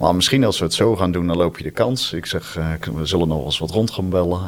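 This man's voice is very deep and low, with ordinary pitch variation at a fairly quick pace. There is noticeable background noise. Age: 40s. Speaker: entrepreneur, agency owner. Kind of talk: interview. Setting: office on ninth floor.

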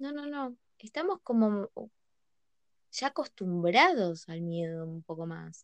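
Very slow and full of long, frequent pauses, a woman's medium-pitched voice makes very wide pitch swings and big swings in loudness, in a dry, close sound with no echo. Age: 20s. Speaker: podcast guest. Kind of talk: casual chat. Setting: recording at night.

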